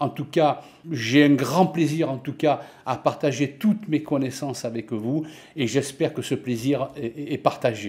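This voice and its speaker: A somewhat breathy man with a southern French accent, fairly high pitch, ordinary pitch variation, and a fairly slow pace. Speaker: office software and finance tutor; finance tutor. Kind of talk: self-introduction. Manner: hesitant, many fillers. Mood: friendly, warm. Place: home room. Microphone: webcam.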